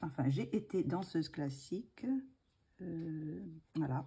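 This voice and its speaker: A woman speaks with a dark, mellow tone that is somewhat breathy. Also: very clean recording, silent background. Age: 60s. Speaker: retired ballet dancer, hobby channel host. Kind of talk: casual chat. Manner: hesitant, many filler sounds.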